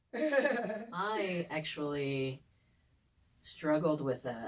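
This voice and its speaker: Noticeable background noise sits behind a woman speaking in a very deep, low pitch. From eastern Kentucky, Ashland area. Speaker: podcast co-host. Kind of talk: casual chat.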